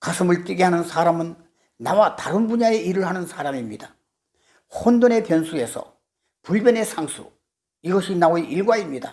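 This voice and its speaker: A high-pitched man talks at a moderate pace, his intonation lively. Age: 80s. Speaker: artist and lecturer. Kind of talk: lecture. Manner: formal.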